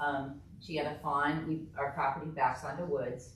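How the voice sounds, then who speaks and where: Over audible room echo, a woman with a very deep, low pitch talks at a moderate pace. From Northern Kentucky. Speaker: resident speaking at public comment. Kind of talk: public comment at council meeting. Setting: city council meeting, recorded. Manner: loud; hesitant, many fillers.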